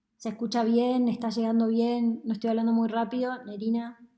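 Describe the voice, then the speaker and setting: A woman with a fairly high pitch speaks at a fairly slow pace in a dark, mellow tone. Audible room echo surrounds her. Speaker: economist. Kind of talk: lecture.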